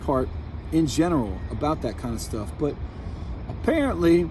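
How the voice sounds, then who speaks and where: Amid noticeable background noise and audible room echo, a man with an American accent speaks at a fairly high pitch, his pitch swinging very widely. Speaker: vlogger. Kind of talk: personal monologue. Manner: halting, repetitive.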